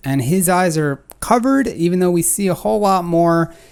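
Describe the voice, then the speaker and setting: A moderate pace carries the speech. It is delivered in a New York accent. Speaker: photography critic, channel host. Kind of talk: tutorial photo critique. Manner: casual, filler-heavy.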